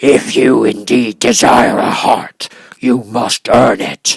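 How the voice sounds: In a put-on character voice, the speaker growls very slowly at a low-to-middle pitch, the sound gruff.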